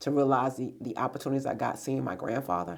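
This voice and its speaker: A woman with an American accent speaks at a very fast pace. Her pitch is very deep and low, with vocal fry. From New York, then raised by grandparents. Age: 50s. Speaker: business owner and director. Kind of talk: interview conversation. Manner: hesitant, many fillers.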